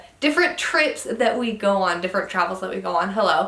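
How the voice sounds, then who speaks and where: A woman with a western US accent speaks with lively intonation. Room echo is audible, and background noise is noticeable. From Utah. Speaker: travel vlogger. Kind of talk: casual vlog monologue. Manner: casual with fillers.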